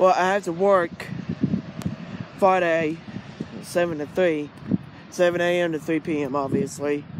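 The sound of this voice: A man with a high pitch speaks at a slow pace. His intonation is fairly even, over faint background noise.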